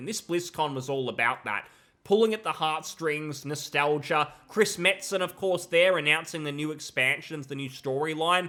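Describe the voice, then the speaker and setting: The voice has a bright, sharp tone and lively intonation. It comes with an Australian accent. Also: man. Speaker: gaming commentator. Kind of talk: video commentary. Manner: casual, frequent repetitions.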